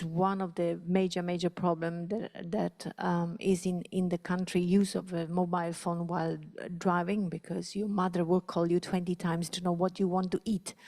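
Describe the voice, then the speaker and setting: Over a silent background on a very clean recording, a woman with an Italian accent speaks at a moderate pace in a dark, mellow tone and fairly low pitch, with a dry, close sound and no echo. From southern Italy. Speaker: panelist on road safety. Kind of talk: conference presentation. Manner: hesitant, many fillers and repetitions.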